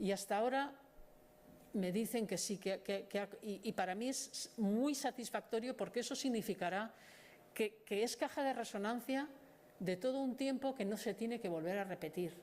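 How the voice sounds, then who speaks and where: The woman keeps her loudness very even, speaking at a moderate pace with ordinary pitch variation. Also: fairly high pitch for a woman. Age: 60s. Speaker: author presenting her book. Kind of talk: book presentation talk. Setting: audience venue, wearing a face mask. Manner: halting, many fillers and repetitions.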